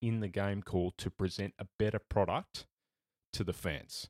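On a very clean recording with a silent background and a dry, close sound with no echo, a man with an Australian accent speaks in a fairly low pitch with fairly even intonation. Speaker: sports journalist. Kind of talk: casual chat.

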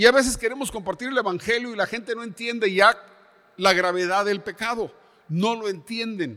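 A man's raised, projected voice, high-pitched with a bright, sharp tone, ordinary pitch variation and a moderate pace. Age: 70s. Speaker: pastor. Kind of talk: sermon. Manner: halting.

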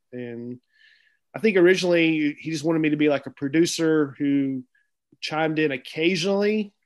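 At a moderate pace and fairly high pitch, a man speaks in an ordinary speaking voice with ordinary pitch variation against a quiet background. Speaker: stand-up comedian. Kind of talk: casual chat.

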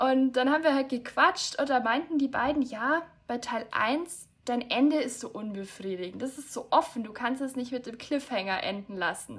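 Speaking at a moderate pace with hardly any pauses, a woman uses a high pitch with ordinary pitch variation and big swings in loudness. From Bavaria, near Munich. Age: 20s. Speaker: author. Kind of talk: casual chat.

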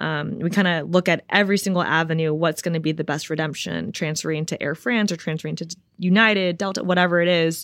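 A woman's fairly low voice at a very fast pace, with hardly any pauses, fairly even intonation and a quiet background. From Los Angeles, California. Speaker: professional tennis player. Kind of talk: casual interview chat. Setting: in-person studio. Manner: many filler ums.

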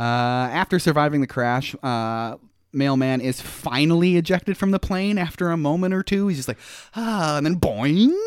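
This man has an unremarkable speaking voice, pitched fairly high, and talks at a moderate pace. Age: 40s. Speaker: podcast host. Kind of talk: casual chat. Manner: joking, playful.

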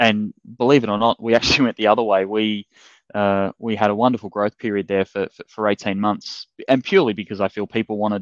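An Australian-accented man speaks very fast at a fairly low pitch with monotone, flat intonation. The sound is dry and close with no echo, over a quiet background. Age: 30s. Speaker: fitness business coach. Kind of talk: interview. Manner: hesitant, many fillers and repeats.

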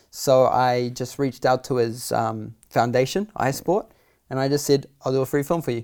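In a very clean recording with a silent background, a man talks in a New Zealand accent. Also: medium pitch for a man, ordinary pitch variation, moderate pace. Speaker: filmmaker. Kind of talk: casual interview chat.

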